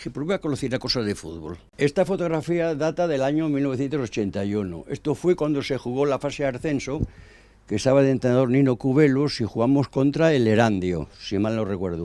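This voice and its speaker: With a dark, mellow tone and lively intonation, a man talks at a fairly quick pace. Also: medium pitch for a man. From Spain, El Bierzo (Ponferrada, León). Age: 80s+. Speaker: former football club president. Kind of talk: interview. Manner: halting.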